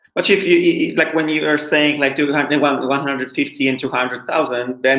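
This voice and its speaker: With a Polish accent, a man of medium pitch talks at a fairly quick pace with ordinary pitch variation. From Poland. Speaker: English school founder, webinar host. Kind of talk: online English lesson. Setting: live webinar.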